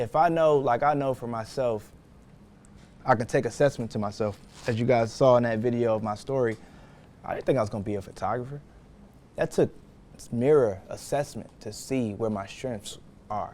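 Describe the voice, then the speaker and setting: A man with an American accent speaks at medium pitch and a moderate pace. His pitch varies in an ordinary way, and he takes long, frequent pauses. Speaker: photographer and business owner teaching a course. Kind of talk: lecture. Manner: quiet; casual.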